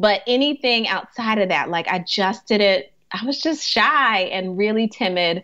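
Speaking at a fairly slow pace with hardly any pauses, a woman uses a medium pitch, lively intonation and a bright, sharp tone. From Alaska. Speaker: grief coach and hospice chaplain. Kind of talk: casual interview chat. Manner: halting, with many fillers.

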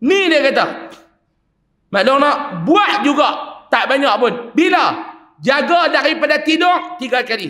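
A man's raised, projected voice at an extremely high pitch, bright and sharp in tone, animated, with lively intonation, long and frequent pauses, and audible room echo. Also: fairly slow pace. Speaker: Islamic preacher. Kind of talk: religious lecture. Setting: mosque with congregation.

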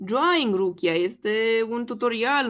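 Her fairly high pitch and lively intonation mark a plain, everyday voice from a woman. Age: 30s. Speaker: YouTuber. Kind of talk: casual monologue. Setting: screen share recording.

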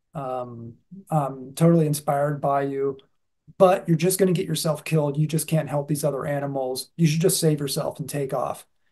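The voice is somewhat breathy, with a dark, mellow tone. It moves at a moderate pace over a quiet background. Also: man. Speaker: speaker. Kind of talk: sermon. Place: home room. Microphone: video call.

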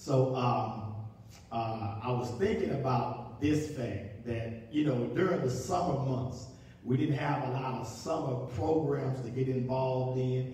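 A man's medium-pitched voice, slow and with few pauses, ordinary pitch variation, a dark, mellow tone, and strong room echo

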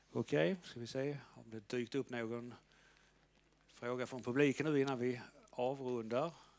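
At a moderate pace, a man speaks with ordinary pitch variation, big swings in loudness, and long, frequent pauses. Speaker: event moderator. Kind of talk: Q&A interview. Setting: stage with audience. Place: hall. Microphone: headset.

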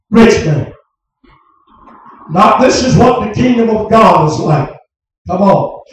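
Strong room echo surrounds a man whose pitch varies in an ordinary way, with light background noise. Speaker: preacher. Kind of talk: revival sermon. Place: tent. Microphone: camera far.

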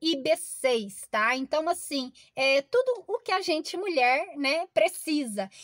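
A Brazilian accent against a quiet background. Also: woman, dry sound with no echo. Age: 40s. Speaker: product reviewer. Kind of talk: sales pitch. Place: car. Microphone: phone near.

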